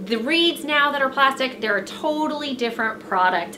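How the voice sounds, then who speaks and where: A woman speaks at a moderate pace in a raised, projected voice. Light background noise is present. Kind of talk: casual vlog chat. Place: home room. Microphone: camera far.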